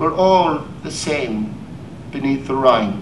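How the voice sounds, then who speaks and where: Against noticeable background noise, a man with a Cork accent speaks at a very slow pace. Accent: Irish, Cork. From Ireland. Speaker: poet. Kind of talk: poetry reading.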